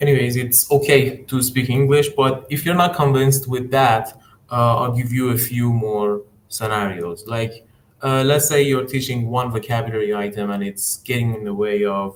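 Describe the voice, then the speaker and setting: A man speaks at a medium pitch with an Iranian accent. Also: ordinary pitch variation, moderate pace. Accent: Iranian (Persian) accent in English. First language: Persian. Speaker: English teacher trainer. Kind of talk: live-stream tutorial. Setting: live stream on YouTube and Instagram. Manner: hesitant, many fillers.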